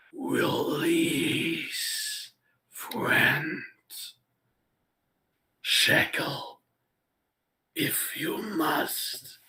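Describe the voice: A raspy, put-on character voice speaks very slowly. Long, frequent pauses break up the speech.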